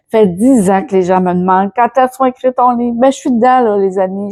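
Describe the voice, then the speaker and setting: Against a quiet background, a woman with a Quebec accent speaks fairly quickly in a dark, mellow tone, the sound dry and close with no echo. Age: 60s. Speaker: personal development YouTuber. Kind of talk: casual vlog. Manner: hesitant, many fillers and repetitions.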